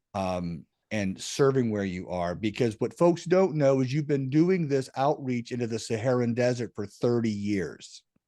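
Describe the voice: A man speaks at a moderate pace with a dark, mellow tone, a medium pitch and ordinary pitch variation.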